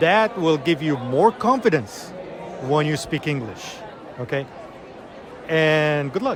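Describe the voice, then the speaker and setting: A man with an Arabic accent speaks at a fairly high pitch and a fairly slow pace. His intonation is lively, and background noise is noticeable. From Iraq. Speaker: English teacher. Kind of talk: conference interview.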